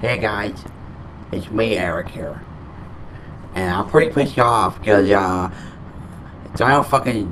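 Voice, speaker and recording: At a fairly slow pace, a man speaks in a fairly low pitch with ordinary pitch variation over light background noise. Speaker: gaming channel host. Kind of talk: casual vlog chat. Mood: annoyed, complaining. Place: home room. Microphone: studio mic.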